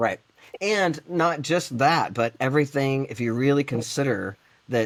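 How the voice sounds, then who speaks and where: This man talks at a fairly slow pace, his fairly high voice rising and falling in a lively way. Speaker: podcast co-host. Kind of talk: casual chat. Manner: loud.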